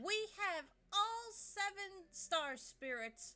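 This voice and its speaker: A woman talks at a very slow pace in a raised, projected voice. Her pitch swings very widely. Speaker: gaming streamer. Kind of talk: let's play commentary. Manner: upbeat.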